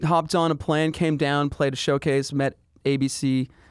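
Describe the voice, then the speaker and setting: Fairly high in pitch, a man has a normal speaking voice with a Canadian accent and fairly even intonation. The recording is very clean, with a silent background and a dry, close sound with no echo. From Canada. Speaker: pop singer-songwriter. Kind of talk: casual interview. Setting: studio.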